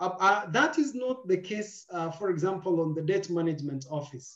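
A man's high-pitched voice at a moderate pace, with a quiet background and audible room echo. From Kenya. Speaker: moderator. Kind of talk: moderated webinar. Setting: video call. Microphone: video call.

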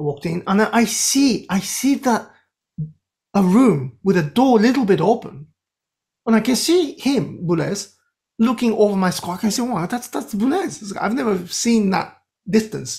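In a quiet background, a man with a Japanese accent and a high pitch speaks at a moderate pace with lively intonation. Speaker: composer; podcast guest. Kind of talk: interview. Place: home room. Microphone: webcam.

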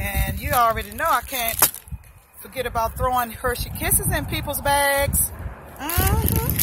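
Loud background noise surrounds a woman speaking at a moderate pace. The sound is dry, with no echo. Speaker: small roadside gift seller. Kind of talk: casual vlog chat. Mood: cheerful, upbeat. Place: street. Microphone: phone near.

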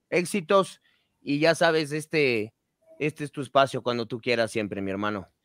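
A man with a normal speaking voice talks at medium pitch and a moderate pace. The sound is dry and close, with no echo. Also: lively intonation. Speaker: podcast co-host. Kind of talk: casual chat.

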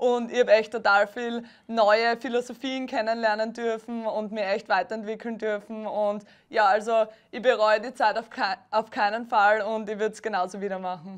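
Monotone and flat, a woman's fairly high voice moves at a moderate pace. The background is quiet. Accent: Styrian. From Austria, Styria. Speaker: beach volleyball player. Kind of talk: TV interview.

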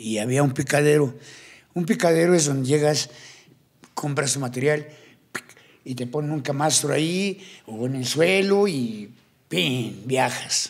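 Long, frequent pauses in fairly slow speech with ordinary pitch variation. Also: man, fairly high pitch for a man. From Colombia, Cartagena; Colombia. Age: 60s. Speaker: tattoo artist and ex-convict; podcast guest. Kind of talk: interview storytelling. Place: studio. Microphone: studio mic.

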